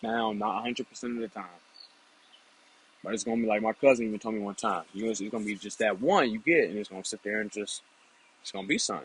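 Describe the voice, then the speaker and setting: Delivered at a very fast pace with fairly even intonation, the speech has a dry, close sound with no echo. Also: man. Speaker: YouTuber giving dating advice. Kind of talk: casual monologue.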